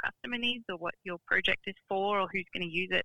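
With an Australian accent, the speaker talks at a fairly quick pace. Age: 30s. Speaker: business founder. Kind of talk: interview.

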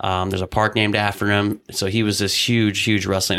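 Very fast and flat in intonation, a man with an American accent speaks at a fairly low pitch in a bright, sharp tone. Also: very clean recording, silent background. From Iowa. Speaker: college wrestling coach. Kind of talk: interview. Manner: halting, many restarts.

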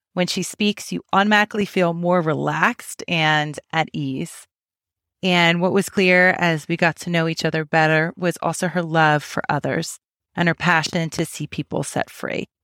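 In a dry, close sound with no echo, a woman talks at a moderate pace in an ordinary speaking voice, fairly low in pitch and fairly even in intonation. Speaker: podcast host. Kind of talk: casual interview. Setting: video call.

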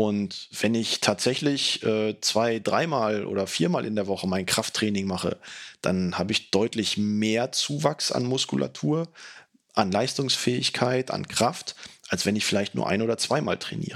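Speaking at a fairly slow pace, a man with a fairly low pitch has an unremarkable speaking voice, recorded very cleanly against a silent background. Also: lively intonation. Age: 40s. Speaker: fitness podcaster. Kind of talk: solo podcast monologue.

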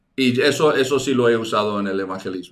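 This voice shows ordinary pitch variation, with audible room echo around it. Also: man. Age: 60s. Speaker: evangelism teacher. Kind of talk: online teaching webinar. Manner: halting, many repetitions.

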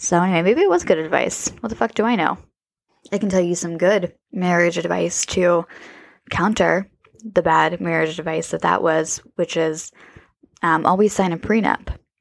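A woman speaks at a moderate pace in a fairly low pitch, with fairly even intonation and vocal fry. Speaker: podcast host. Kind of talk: casual chat. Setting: solo recording.

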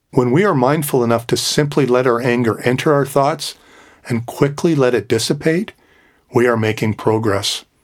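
At a moderate pace, a man with a medium pitch talks in an ordinary speaking voice with ordinary pitch variation, on a very clean recording with a silent background. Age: 60s. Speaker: podcast host. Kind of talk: reflective monologue.

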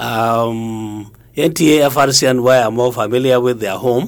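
A man speaks with a northern Nigerian accent. His pitch is medium, with ordinary variation. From Nigeria, Kano. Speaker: retired broadcasting regulator. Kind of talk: interview.

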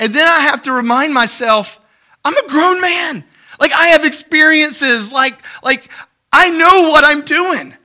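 In a raised, projected voice, a man speaks with a bright, sharp tone. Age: 40s. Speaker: pastor. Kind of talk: sermon. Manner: halting.

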